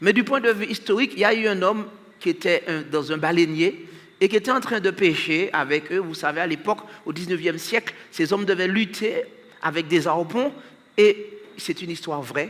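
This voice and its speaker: Pitched high, a man speaks with ordinary pitch variation. His pace is moderate. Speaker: preacher. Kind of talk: sermon.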